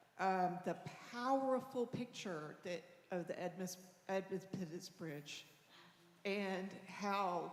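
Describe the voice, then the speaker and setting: A woman's medium-pitched voice at a very slow pace, ordinary pitch variation, noticeable background noise. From Atlanta, Georgia. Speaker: congregation member. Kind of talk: testimony. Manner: halting.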